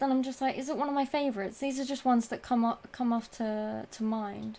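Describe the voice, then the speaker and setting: Speaking at a very fast pace, a woman keeps her high-pitched voice at a fairly even intonation. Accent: British. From Britain. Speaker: gaming streamer. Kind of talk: live stream Q&A. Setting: live stream with chat. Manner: casual, hesitant with fillers.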